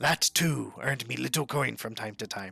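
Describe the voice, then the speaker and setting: At a moderate tempo, this man talks in a raspy, put-on character voice. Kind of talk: game journal reading.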